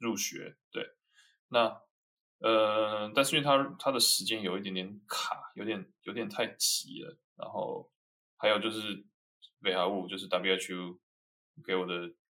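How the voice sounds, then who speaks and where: Pausing long and often, a man speaks at a fairly slow pace in a bright, sharp tone with ordinary pitch variation. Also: fairly low pitch for a man. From Taiwan. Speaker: MBA graduate, consultant. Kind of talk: interview. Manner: halting.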